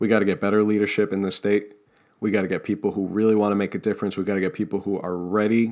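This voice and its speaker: A man's fairly low, passionate voice at a very fast pace, in a very clean recording with a silent background. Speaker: political podcast host. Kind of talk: political commentary monologue. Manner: passionate, sometimes tripping over words.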